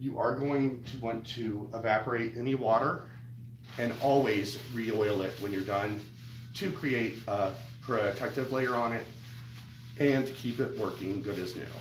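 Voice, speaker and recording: A man speaks at a fairly slow pace, his pitch medium and his intonation fairly even. Room echo can be heard around him. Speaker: cooking channel host. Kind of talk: live stream tutorial. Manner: halting, many fillers.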